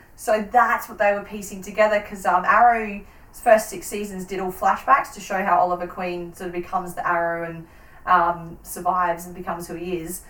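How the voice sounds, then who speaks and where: Speaking with an Australian accent, a woman talks at a fairly quick pace and medium pitch. Her intonation is fairly even, but her loudness swings widely. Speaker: podcast host. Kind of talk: casual chat.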